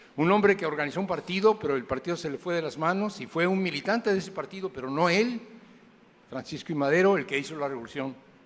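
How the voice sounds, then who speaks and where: A man speaks at a very fast pace. His voice sits at a high pitch. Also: ordinary pitch variation. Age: 80s+. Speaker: historian, lecturer. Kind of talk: lecture.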